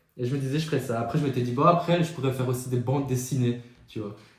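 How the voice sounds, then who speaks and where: Audible room echo surrounds a man's voice. He speaks at a medium pitch with ordinary pitch variation. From Belgium. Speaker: podcast co-host. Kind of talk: casual chat.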